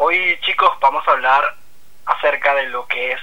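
A man with a Venezuelan accent speaks very slowly in a fairly high voice. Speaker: podcast guest. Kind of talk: casual chat.

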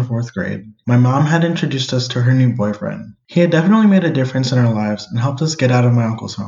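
Very fast talk from a man at a medium pitch with an American accent, somewhat breathy and with hardly any pauses. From US Northeast and Cleveland, Ohio. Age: 20s. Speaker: podcast co-host. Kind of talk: personal narrative monologue.

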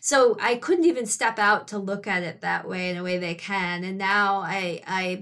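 In a very clean recording with a silent background, a woman with a Midwestern US accent, medium pitch and a bright, sharp tone speaks at a moderate pace with ordinary pitch variation and hardly any pauses. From Detroit area, Michigan. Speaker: author and screenwriter. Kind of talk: casual interview chat.

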